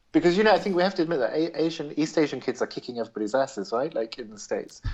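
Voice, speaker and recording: A man talks very fast at a fairly high pitch, with lively intonation. His voice has vocal fry and big swings in loudness. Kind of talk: casual podcast conversation. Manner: animated.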